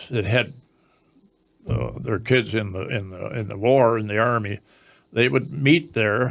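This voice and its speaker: A man talks with a northern Ontario accent. He keeps a moderate pace. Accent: rural northern Ontario Canadian. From northern Ontario, Canada. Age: 80s. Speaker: elderly local resident sharing memories. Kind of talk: reminiscing interview. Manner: halting, with frequent false starts.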